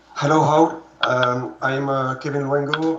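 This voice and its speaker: A man with a French accent talks at a fairly slow pace and medium pitch, his intonation fairly even. Noticeable background noise and audible room echo fill the recording. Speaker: UFO field investigator. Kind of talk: self-introduction. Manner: halting.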